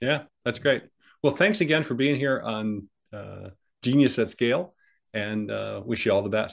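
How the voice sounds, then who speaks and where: Using an unremarkable speaking voice, a man with an American accent talks at a moderate pace and medium pitch, his intonation lively. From US Midwest. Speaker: podcast host. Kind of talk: interview.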